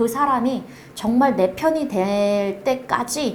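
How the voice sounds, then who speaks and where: Fairly high in pitch, a woman's voice comes through noticeable background noise and audible room echo. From North Korea. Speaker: project manager at a support organization. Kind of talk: interview. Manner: halting.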